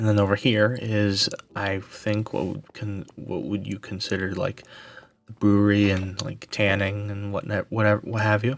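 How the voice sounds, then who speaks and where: Soft-spoken and fairly low-pitched, the man keeps his intonation fairly even. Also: moderate pace. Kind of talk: ASMR game world tour narration.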